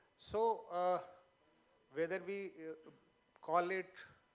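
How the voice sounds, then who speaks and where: This is a man speaking. He has a Bihari accent. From Bihar, India (Magahi-speaking area). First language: Magahi. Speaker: panelist at literature festival. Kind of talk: panel discussion. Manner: hesitant, many fillers.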